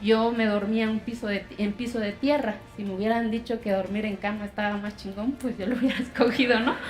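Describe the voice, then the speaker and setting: A woman at a fairly quick pace with hardly any pauses, fairly high in pitch and monotone and flat in intonation, over noticeable background noise. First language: Zapotec (speaking Spanish). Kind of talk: testimony speech. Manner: emotional, impassioned.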